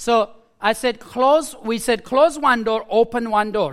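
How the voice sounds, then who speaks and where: A man speaks with a Nepali accent. The recording is very clean, with a silent background. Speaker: preacher. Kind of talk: sermon. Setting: church.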